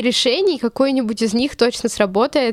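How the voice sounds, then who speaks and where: A woman speaks at a moderate pace in a fairly high voice with ordinary pitch variation, an unremarkable speaking voice. The recording is very clean, with a silent background. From Russia, Chelyabinsk. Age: 20s. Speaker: journalism student. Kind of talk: interview.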